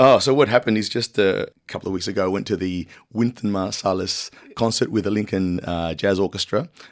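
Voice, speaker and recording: A man at a fairly low pitch and fairly quick pace, with ordinary pitch variation, in a very clean recording with a silent background. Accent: Australian. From Latin America, moved to Australia at six. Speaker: composer and pianist. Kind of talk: radio interview. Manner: animated.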